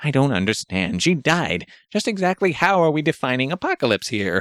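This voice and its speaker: A man's put-on character voice, fairly high-pitched and fairly quick, with very wide pitch swings in a very clean recording with a silent background. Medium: read story. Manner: blunt, irreverent.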